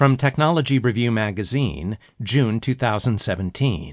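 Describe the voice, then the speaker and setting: Speaking at a fairly slow pace, a man's voice comes through over a quiet background. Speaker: audiobook narrator. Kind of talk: audiobook narration of magazine articles. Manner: formal, measured news-style delivery; clear, steady, even pacing.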